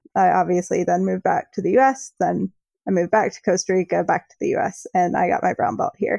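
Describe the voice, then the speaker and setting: A woman talks at a very fast pace in an American accent, the sound dry and close with no echo. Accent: American with a slight Australian touch. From US, Pittsburgh, Pennsylvania. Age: 20s. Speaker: jiu-jitsu athlete and writer. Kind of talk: interview. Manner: casual, many fillers.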